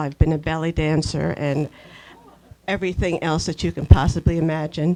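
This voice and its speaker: This woman's pitch is very deep and low. Her speech carries an American accent. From Pennsylvania, Doylestown. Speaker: local community volunteer. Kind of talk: panel talk.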